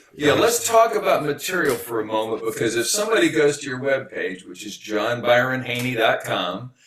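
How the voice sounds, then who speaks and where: Very wide pitch swings mark this fairly quick delivery in an American accent, with hardly any pauses. Noticeable background noise sits behind the voice. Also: man, fairly high pitch for a man. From Texas. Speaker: podcast host, solo performer. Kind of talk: interview.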